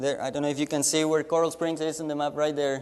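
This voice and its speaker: Speaking in a Spanish accent, a man has a fairly high pitch. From Latin America. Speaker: missionary. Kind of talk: mission report presentation. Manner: halting with frequent repetitions.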